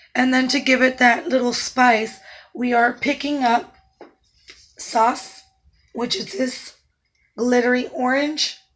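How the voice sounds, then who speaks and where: A woman with a high pitch at a very slow pace, in a monotone, flat intonation, with long, frequent pauses and music in the background. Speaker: makeup artist. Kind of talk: tutorial.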